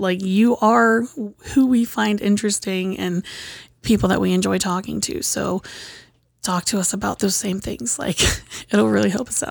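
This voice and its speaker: In an American accent, a woman speaks at a moderate pace with very wide pitch swings. The recording is very clean, with a silent background. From US Midwest (Columbus, Ohio). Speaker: podcast co-host. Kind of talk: casual chat.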